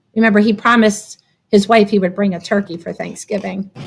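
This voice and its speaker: A woman puts on a raspy character voice of medium pitch with a warm, gentle tone, speaking in a monotone, flat way at a fairly quick pace. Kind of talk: read-aloud picture book story for children. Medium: read story. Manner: warm, gentle, conversational asides to listeners.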